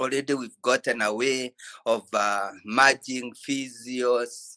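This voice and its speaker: A man with a Kenyan accent and a bright, sharp tone, very slow, in a dry, close recording with no echo and a quiet background. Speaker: physiotherapist. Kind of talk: ceremony speech on video call. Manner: halting.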